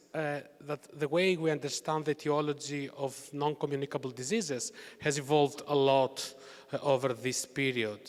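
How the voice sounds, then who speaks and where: Someone with a Greek accent speaks at a moderate pace over noticeable background noise. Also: man. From Greece. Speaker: university researcher. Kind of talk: conference talk.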